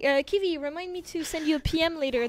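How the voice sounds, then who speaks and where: A woman speaks with a slight French accent and ordinary pitch variation. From France, Paris; teenage years in Japan. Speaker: game community streamer. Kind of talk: live game stream chat.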